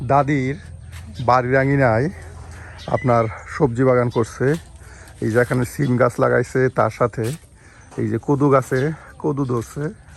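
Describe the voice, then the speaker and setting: This is a plain, everyday voice. Its intonation is fairly even. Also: man, medium pitch for a man. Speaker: village cooking video narrator. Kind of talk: cooking vlog narration.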